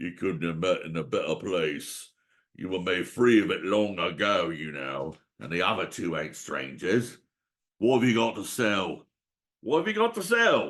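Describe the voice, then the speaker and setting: In a put-on character voice, a man speaks at a very deep, low pitch and a moderate pace with lively intonation. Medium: read story. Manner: eager, wheedling.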